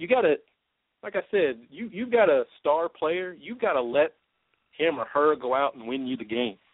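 A man's fairly high voice at a moderate pace, with very wide pitch swings and big swings in loudness. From Louisville, Kentucky. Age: 30s. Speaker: sports talk radio host. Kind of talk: solo sports talk show, year-in-review commentary; radio DJ-style break patter: station time check, show ID and promo tease before a break. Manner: casual and conversational with frequent uh fillers and repeated words; upbeat, announcer-like sign-off cadence.

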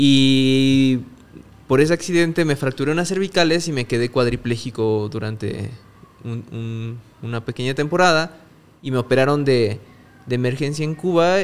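The speaker takes long, frequent pauses. The pace is moderate, and the pitch varies in an ordinary way. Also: man, medium pitch for a man. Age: 30s. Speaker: photographer. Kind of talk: casual chat.

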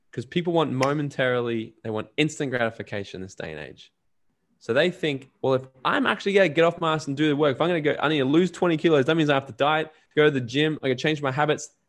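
Talking at a very fast pace, a man with an Australian accent uses lively intonation and a fairly high pitch. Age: 20s. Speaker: entrepreneur and podcaster. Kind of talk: casual interview.

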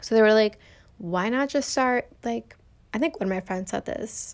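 The speaker talks at a moderate pace. Pitch variation is ordinary. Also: woman. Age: 20s. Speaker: podcaster, college student. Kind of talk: casual solo podcast monologue. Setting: home recording on bedroom floor. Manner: casual with laughter.

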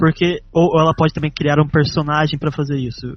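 A man at a fairly high pitch, with music in the background. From Brazil, Taubaté (São Paulo state). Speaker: podcast co-host. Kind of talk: casual interview chat.

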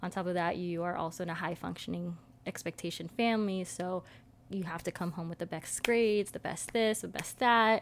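Here is a plain, everyday voice. The pace is fairly quick. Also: woman, fairly low pitch for a woman, fairly even intonation. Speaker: podcast host. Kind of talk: casual chat.

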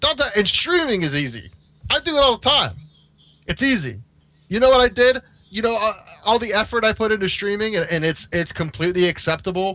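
A man's raised, projected voice, high-pitched with a bright, sharp tone, at a fairly quick pace with very wide pitch swings and long, frequent pauses. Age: 30s. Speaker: podcast co-host. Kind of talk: casual chat.

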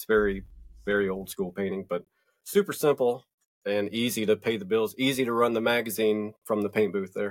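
In a very clean recording with a silent background, a man with a Southern US accent speaks at a moderate pace with fairly low pitch and fairly even intonation. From US South, North Georgia mountains. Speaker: magazine publisher. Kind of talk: casual chat.

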